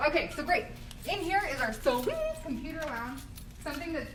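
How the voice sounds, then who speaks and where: A woman's very fast speech with lively intonation, plus audible room echo. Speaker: university housing staff tour guide. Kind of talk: live guided tour. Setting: walking tour via Instagram Live. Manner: casual, chatty.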